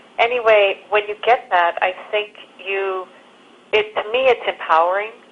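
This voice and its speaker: Against noticeable background noise, the speech has ordinary pitch variation and a moderate pace. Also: woman, medium pitch for a woman. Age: 60s. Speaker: documentary filmmaker. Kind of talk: interview.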